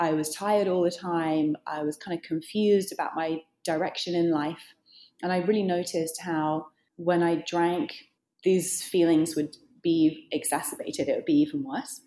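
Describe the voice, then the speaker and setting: At a moderate pace, this dark, mellow voice with a British accent shows ordinary pitch variation on a very clean recording with a silent background. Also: woman, fairly low pitch for a woman. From Britain. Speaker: author and journalist. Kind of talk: interview.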